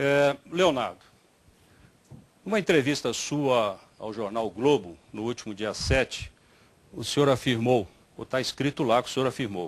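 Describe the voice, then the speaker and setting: Long, frequent pauses break up speech at a fairly slow pace with lively intonation. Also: man, medium pitch for a man. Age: 60s. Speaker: mayoral candidate, former state secretary. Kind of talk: political debate.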